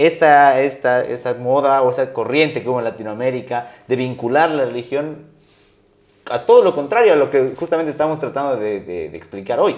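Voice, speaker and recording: A man speaks in an ordinary speaking voice. He moves at a fairly quick pace with ordinary pitch variation. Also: medium pitch for a man. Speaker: interview show host. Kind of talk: interview conversation.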